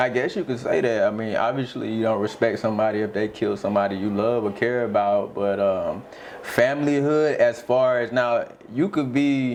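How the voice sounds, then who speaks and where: A man with an American accent talks at a medium pitch and moderate pace. His pitch varies in an ordinary way over noticeable background noise. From US South, Jacksonville, Florida. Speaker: rapper. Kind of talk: interview. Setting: studio.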